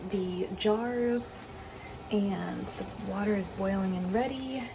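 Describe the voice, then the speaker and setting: Speaking at a very slow pace, a woman with a medium-pitched voice is heard over noticeable background noise and audible room echo. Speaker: homemaker vlogger. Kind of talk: casual vlog narration. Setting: home kitchen. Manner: casual, hesitant with fillers.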